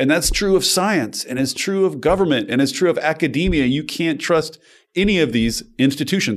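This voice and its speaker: With an unremarkable speaking voice, a man talks at a moderate pace and fairly high pitch with lively intonation, on a very clean recording with a silent background. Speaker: journalist. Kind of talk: interview conversation.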